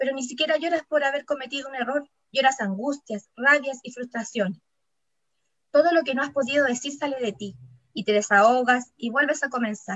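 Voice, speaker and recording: A high-pitched woman talks at a moderate pace, her pitch varying in an ordinary way. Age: 30s. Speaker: writer. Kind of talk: reading aloud.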